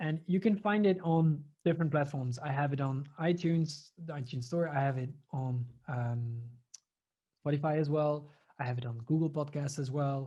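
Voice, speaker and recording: In a Flemish accent, a man speaks with a fairly high pitch and a dark, mellow tone. His voice is somewhat breathy, with ordinary pitch variation and a moderate pace. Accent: Belgian Dutch (Flemish) accent in English. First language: Dutch. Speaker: audio production business owner and trainer. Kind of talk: webinar presentation.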